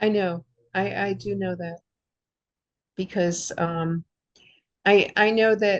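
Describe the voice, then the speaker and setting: Very slowly and with long, frequent pauses, a woman speaks. Her medium-pitched voice stays monotone, with flat intonation. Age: 70s. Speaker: participant. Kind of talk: group discussion. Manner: halting.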